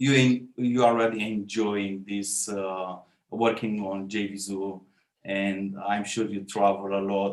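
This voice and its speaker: A man with a non-native accent, fairly low-pitched, very slow and flat in a monotone. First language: not English. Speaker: online marketer interviewer. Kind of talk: interview. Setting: call. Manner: halting, many fillers.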